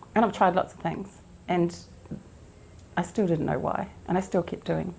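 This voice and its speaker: A woman talks at a moderate pace. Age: 60s. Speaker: event attendee. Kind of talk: interview testimony. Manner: halting.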